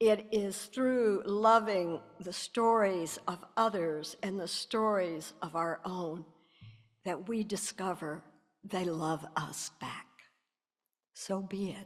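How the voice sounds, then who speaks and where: A woman with a Southern US accent, medium pitch, ordinary pitch variation and a very slow pace. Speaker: minister. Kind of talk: reading aloud.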